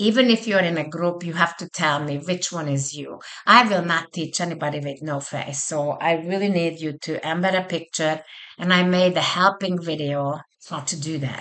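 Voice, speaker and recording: A woman speaks at a moderate pace with a non-native accent. Her pitch is fairly low, and her intonation is fairly even. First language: not English. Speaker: college instructor. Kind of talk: online course walkthrough. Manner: casual conversational.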